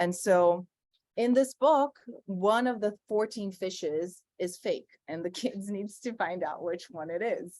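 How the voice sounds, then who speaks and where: A woman's medium-pitched voice with a dark, mellow tone, lively intonation and a fairly slow pace, in a Brazilian Portuguese accent. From Brazil, Sao Paulo. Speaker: environmental artist. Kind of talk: conversation.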